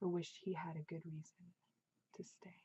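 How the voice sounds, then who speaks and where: This soft-spoken voice has a dark, mellow tone and a somewhat breathy quality, delivered in a monotone, flat intonation. The pace is moderate, and the sound is dry and close with no echo. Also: woman. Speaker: author. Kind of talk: audiobook-style reading of own novel.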